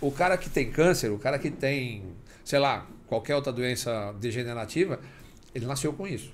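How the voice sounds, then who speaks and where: Lively intonation at a fairly quick pace. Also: man. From Acre, Brazil (Rio Branco). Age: 50s. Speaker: motorcycle riding instructor, former highway police officer. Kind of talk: casual interview chat.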